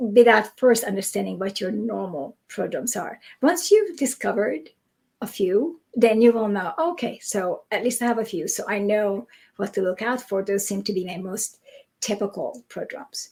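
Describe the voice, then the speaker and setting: Very cleanly recorded against a silent background, a woman speaks at a moderate pace. Her voice is fairly high and somewhat breathy. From Europe. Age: 60s. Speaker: migraine researcher. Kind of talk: interview.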